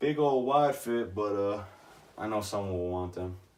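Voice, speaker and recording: A man speaks at a moderate pace, and audible room echo can be heard around him. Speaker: vintage clothing reseller. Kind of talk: casual show-and-tell vlog. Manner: casual, filler-heavy.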